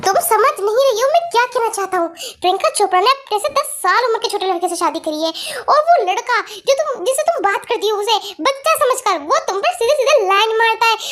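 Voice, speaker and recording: Using a put-on character voice, a woman speaks at an extremely high pitch with lively intonation and a fairly quick pace. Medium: read story. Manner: earnest, blunt.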